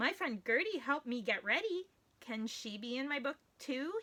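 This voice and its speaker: A woman talks in a put-on character voice. Her pitch is high and her pace is moderate. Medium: read story. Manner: anxious, earnest.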